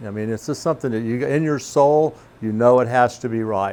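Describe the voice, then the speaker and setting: A man talks in a plain, everyday voice. His pitch is medium, with ordinary pitch variation. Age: 60s. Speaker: restaurant owner. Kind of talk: interview.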